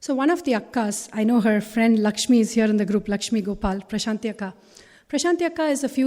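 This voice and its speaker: On a very clean recording with a silent background, a woman talks very fast at a fairly high pitch with a dark, mellow tone. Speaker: spiritual talk speaker. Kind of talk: inspirational talk. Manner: animated.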